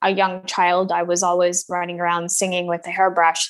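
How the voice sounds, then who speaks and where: At a moderate pace and in a monotone, flat delivery, a woman with an American accent speaks over a quiet background. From Scotland. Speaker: musician. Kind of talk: casual interview. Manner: hesitant, filler words.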